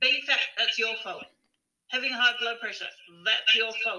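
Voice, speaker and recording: A woman in an Australian accent, high-pitched with a bright, sharp tone, at a moderate pace. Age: 50s. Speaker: holistic health practitioner and author. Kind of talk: casual interview chat.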